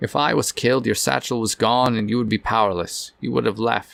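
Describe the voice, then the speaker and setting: In a gruff, put-on character voice, a man talks at a fairly quick pace with medium pitch and ordinary pitch variation. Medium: read story. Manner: gruff, weary.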